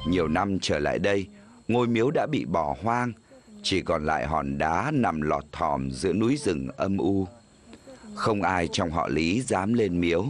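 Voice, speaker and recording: This man's pitch is very deep and low, yet it swings very widely. He speaks at a fairly slow pace with very even loudness. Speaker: documentary narrator. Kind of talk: documentary narration.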